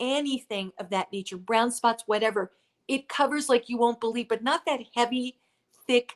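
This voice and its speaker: A woman speaks in a high pitch with an animated tone, the sound dry and close with no echo. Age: 60s. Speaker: skincare show host. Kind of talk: live sales presentation. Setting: Facebook live stream.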